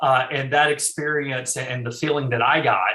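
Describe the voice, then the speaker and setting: A man speaks with a North Carolina accent. His intonation is monotone and flat. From eastern North Carolina. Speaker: estate planning attorney. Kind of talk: interview. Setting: call.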